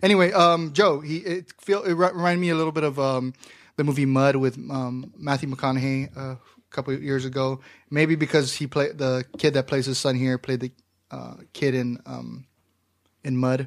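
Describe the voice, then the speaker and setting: Delivered at a moderate pace, this is a normal speaking voice with an American accent. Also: man, fairly high pitch for a man. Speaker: podcast host and film critic. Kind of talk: casual banter.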